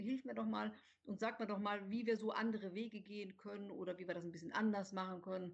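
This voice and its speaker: A woman speaks at a fairly quick pace in a medium pitch with ordinary pitch variation. Her voice is somewhat breathy. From Rhineland, near Cologne, Germany. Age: 40s. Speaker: author, journalist and editor. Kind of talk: podcast interview.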